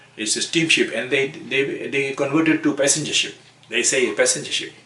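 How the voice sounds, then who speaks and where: Talking at a fairly quick clip, a man is heard against noticeable background noise. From Fiji (Ba), Indo-Fijian family. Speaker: elderly immigrant interviewee. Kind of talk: oral history interview. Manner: halting, many repetitions and fillers.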